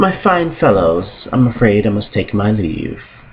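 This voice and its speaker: Lively intonation marks this man's very slow speech. Noticeable background noise is present. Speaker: amateur story narrator. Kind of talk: read story narration.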